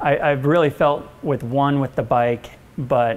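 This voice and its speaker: The man talks very slowly. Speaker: interview guest. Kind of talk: interview answer. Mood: relaxed, reminiscing. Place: office.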